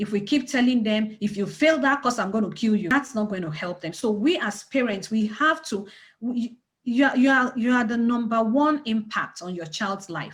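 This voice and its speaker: The recording is very clean, with a silent background. A woman speaks at a moderate pace in a fairly high, somewhat breathy voice with lively intonation. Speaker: community organization leader. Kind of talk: panel discussion talk. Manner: animated.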